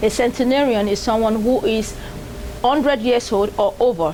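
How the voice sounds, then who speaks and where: Noticeable background noise runs beneath a woman who talks at a moderate pace. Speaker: TV show host. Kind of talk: TV program introduction.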